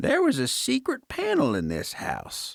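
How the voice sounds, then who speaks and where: A man does a put-on character voice at a moderate pace, with a dry, close sound and no echo. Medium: read story. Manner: prim, genteel.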